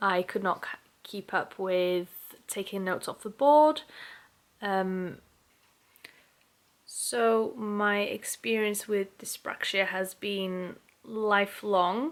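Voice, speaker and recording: Very slowly and with long, frequent pauses, a woman speaks at a medium pitch with ordinary pitch variation. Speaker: YouTuber. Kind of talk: personal vlog talk. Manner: slow and careful, pausing to find words; halting with word restarts.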